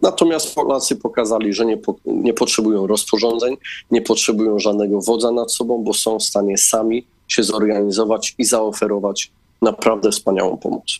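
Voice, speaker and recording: A man with an unremarkable speaking voice talks at a fairly quick pace, with medium pitch and fairly even intonation. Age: 30s. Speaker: politician. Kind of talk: political interview.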